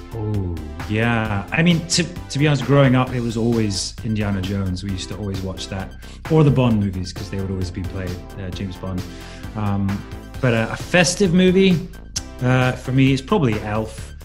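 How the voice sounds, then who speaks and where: Clear music sits in the background. A man with a fairly low pitch speaks in very wide pitch swings. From Scotland. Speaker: actor. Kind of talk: interview answer. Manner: witty, quick. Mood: playful, joking.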